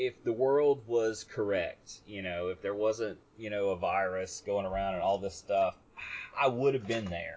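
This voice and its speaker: In an unremarkable speaking voice, a man with an American accent talks at a fairly slow pace and fairly low pitch, with ordinary pitch variation. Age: 40s. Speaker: podcast host. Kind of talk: casual chat.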